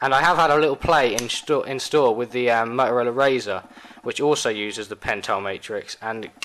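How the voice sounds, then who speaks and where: Over noticeable background noise, a man with a British accent talks fairly quickly at a medium pitch with ordinary pitch variation. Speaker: tech reviewer. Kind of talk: product review. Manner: fast.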